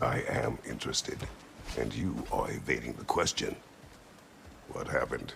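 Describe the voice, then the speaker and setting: Using a put-on character voice, a man leaves long, frequent pauses. Background noise is clearly heard. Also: moderate pace. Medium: video game. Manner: terse, slow, gruff.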